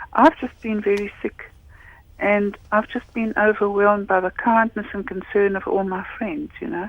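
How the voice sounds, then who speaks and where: Speaking at a moderate pace, a woman has a plain, everyday voice. Her pitch is medium, with ordinary pitch variation. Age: 60s. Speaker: caller. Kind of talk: radio phone-in.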